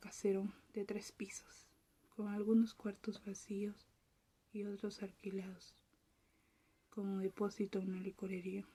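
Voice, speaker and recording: A woman speaks in a calm, dark, mellow tone that is somewhat breathy. Her intonation stays monotone and flat. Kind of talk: ASMR soft-spoken reading of a short story. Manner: soft-spoken, whispery, calm.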